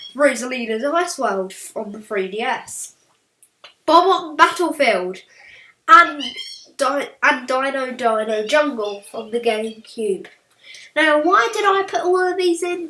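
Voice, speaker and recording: A woman talks in a raised, projected voice at a high pitch, at a fairly slow pace with long, frequent pauses, very wide pitch swings and big swings in loudness. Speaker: gaming youtuber. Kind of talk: casual video commentary. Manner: halting, self-correcting.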